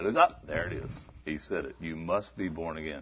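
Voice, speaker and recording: A warm-toned, somewhat breathy male voice. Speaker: missionary preacher. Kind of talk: sermon. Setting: church. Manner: preaching, warm and conversational.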